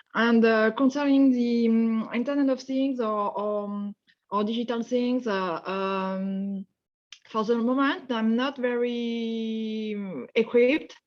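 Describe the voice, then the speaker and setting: Speaking very slowly in a French accent, a woman uses a fairly high pitch with ordinary pitch variation. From France. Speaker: webinar participant, engineer. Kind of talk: casual self-introduction. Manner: halting.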